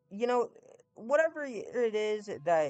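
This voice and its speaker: Music plays in the background while a man speaks at a very slow pace. His pitch varies in an ordinary way. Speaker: gaming YouTuber. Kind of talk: heartfelt farewell message to viewers. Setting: home recording on mic. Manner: halting, hesitant.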